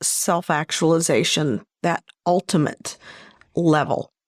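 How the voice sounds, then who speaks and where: Very slowly, a woman speaks. The recording is very clean with a silent background and a dry, close sound with no echo. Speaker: hypnotist and podcast host. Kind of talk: solo podcast talk.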